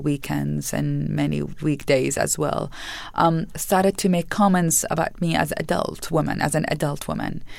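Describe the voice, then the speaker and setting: A woman speaks with an Arabic accent. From Iraq. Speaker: nonprofit founder. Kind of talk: interview.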